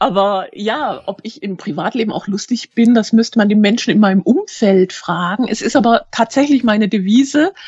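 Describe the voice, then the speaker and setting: A woman's voice, somewhat breathy, carries lively intonation. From Germany, Schwäbisch Hall (Hohenlohe). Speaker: crime novelist. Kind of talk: interview.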